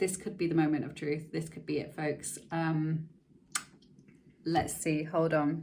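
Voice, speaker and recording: Heard with audible room echo, a woman speaks at a fairly slow pace. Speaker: content creator and choir teacher. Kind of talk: vlog. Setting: at home. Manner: animated.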